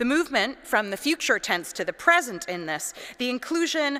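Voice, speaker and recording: A loud woman's voice, high in pitch, with very wide pitch swings and a Canadian accent. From Canada, British Columbia. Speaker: priest and art historian. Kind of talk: lecture. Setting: cathedral with audience.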